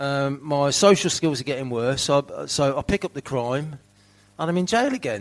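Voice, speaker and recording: This man talks at a fairly high pitch with ordinary pitch variation. He keeps a moderate pace, with a slight Birmingham accent. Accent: slight Birmingham twang. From England, not Birmingham. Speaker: recovering addict sharing at recovery meeting. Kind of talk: recovery share testimony. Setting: fundraiser event with audience. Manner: casual, halting with repetitions.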